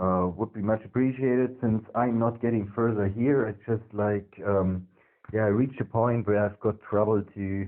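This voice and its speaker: A man with a non-native accent speaks at a moderate pace. His fairly low pitch stays in a monotone, flat intonation. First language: not English. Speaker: tech hobbyist investigating network security. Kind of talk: screen-recorded tutorial walkthrough. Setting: at home next to the router. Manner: hesitant, many fillers.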